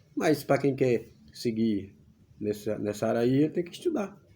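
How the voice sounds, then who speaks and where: A man's somewhat breathy voice has a dark, mellow tone and very wide pitch swings. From Brazilian Northeast (Pernambuco interior). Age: 50s. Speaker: YouTuber. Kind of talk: casual vlog monologue.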